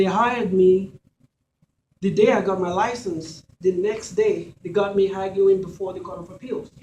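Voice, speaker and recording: A man with a Nigerian accent talks at a moderate pace in a high voice. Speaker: lawyer and judicial candidate. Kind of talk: campaign speech. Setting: candidates event with audience. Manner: formal.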